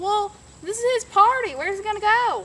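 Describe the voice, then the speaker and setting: A put-on character voice, squeaky and extremely high in pitch, at a fairly quick pace. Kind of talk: comic overacting. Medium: audio drama. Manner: rambling, easygoing.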